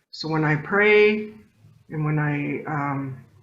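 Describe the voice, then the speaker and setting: Ordinary pitch variation with audible room echo. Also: woman. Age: 60s. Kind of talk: talk to an audience. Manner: conversational, with many fillers.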